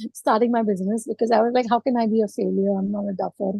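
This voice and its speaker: This woman speaks in a fairly high, somewhat breathy voice with fairly even intonation. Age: 50s. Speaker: entrepreneur. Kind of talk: panel discussion. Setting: video call.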